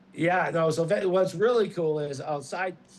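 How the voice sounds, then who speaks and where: Talking fairly quickly with a Boston accent, a man uses a fairly high pitch and ordinary pitch variation. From Boston, US Northeast. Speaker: former pro baseball pitcher, now real estate agent. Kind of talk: casual chat.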